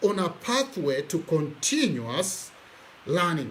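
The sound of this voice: Audible room echo surrounds a man whose pitch makes big swings.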